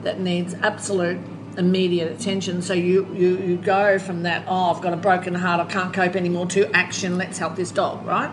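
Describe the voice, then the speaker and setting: A woman with an Australian accent speaks at a moderate pace and fairly low pitch, with audible room echo and noticeable background noise. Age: 60s. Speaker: animal rescuer and recovering alcoholic. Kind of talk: casual interview. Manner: halting.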